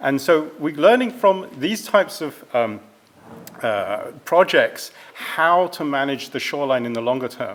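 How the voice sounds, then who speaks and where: A man speaks in a European accent with lively intonation. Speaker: environmental scientist. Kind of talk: presentation.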